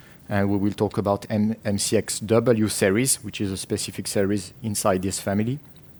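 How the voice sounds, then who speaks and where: A man with a French accent speaks in a flat monotone at a fairly low pitch and a moderate pace. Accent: French accent, noticeable. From France. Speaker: tech company marketing manager. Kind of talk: conference presentation. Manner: hesitant, many fillers and repetitions.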